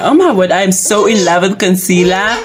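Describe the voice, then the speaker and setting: A woman at a medium pitch is heard with audible room echo and noticeable background noise. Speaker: beauty YouTuber. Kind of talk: makeup review tutorial. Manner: loud; chatty.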